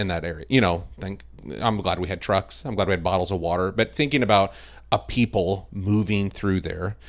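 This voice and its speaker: With an American accent, a man speaks fairly quickly in a very deep, low pitch with vocal fry and lively intonation, on a very clean recording with a silent background. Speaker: video production director. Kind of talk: casual interview chat.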